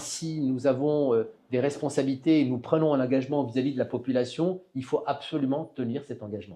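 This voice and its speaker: A man's dark, mellow voice at medium pitch, with fairly even intonation and a moderate pace. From southern France (Var). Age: 60s. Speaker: local politician. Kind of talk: interview. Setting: studio. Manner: hesitant, many fillers.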